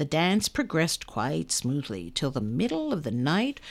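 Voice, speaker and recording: A woman's animated, fairly slow voice with vocal fry and very wide pitch swings. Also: very clean recording, silent background. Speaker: oral history reader. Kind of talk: reading aloud a comic narrative poem, sing-song rhymed couplets. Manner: animated, rhythmic, brisk storytelling delivery with relish; formal, measured narration.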